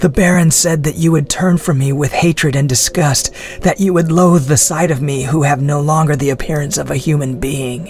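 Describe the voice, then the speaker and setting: In a put-on character voice, a man talks at a fairly high pitch with fairly even intonation. His pace is moderate with hardly any pauses, over clear background noise. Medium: audio drama. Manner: proud, contemptuous.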